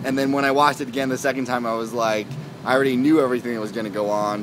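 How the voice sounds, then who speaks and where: A man talks at a medium pitch with ordinary pitch variation. Noticeable background noise runs underneath. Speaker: vlogger and TV reviewer. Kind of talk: casual video review. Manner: fast; halting, many fillers and repeats.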